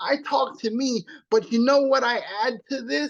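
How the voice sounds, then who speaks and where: Against a quiet background, a man speaks fairly slowly in an animated tone at an extremely high pitch. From Trinidad. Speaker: motivational speaker. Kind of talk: webinar presentation.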